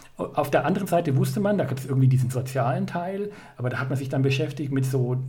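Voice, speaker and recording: A man of medium pitch speaks amid noticeable background noise and audible room echo. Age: 40s. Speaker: life coach. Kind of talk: interview. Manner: halting.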